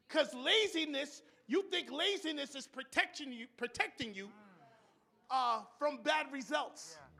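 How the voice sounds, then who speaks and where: Raising and projecting his voice, a man speaks at a fairly slow pace with an extremely high pitch, lively intonation and a bright, sharp tone. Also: big swings in loudness. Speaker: preacher. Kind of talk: church sermon.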